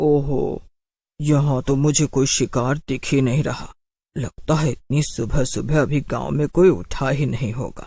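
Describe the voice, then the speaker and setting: Using a cartoonish character voice, a man sounds menacing as he speaks fairly slowly at a fairly high pitch. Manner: cackling and menacing.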